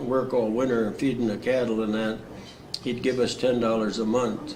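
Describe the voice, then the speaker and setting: With a Wisconsin accent, the speaker talks in a flat monotone amid noticeable background noise and audible room echo. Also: man. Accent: Upper Midwest US (Wisconsin). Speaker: war veteran. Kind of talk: oral history interview. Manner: halting, frequent uh fillers.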